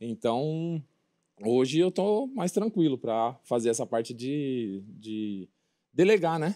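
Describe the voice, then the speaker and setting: Over a quiet background, a man speaks very slowly in a dark, mellow tone at a fairly high pitch, with very wide pitch swings. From São Paulo, ABC region; São Paulo, Brazil. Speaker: former footballer turned construction business owner; interview guest. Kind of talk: casual TV interview. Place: studio.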